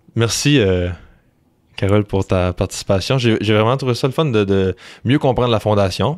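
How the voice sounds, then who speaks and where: A fairly low-pitched man with a slight Quebec accent, at a moderate pace with long, frequent pauses, ordinary pitch variation and very even loudness, in a very clean recording with a silent background. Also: dry, close sound with no echo. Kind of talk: interview conversation.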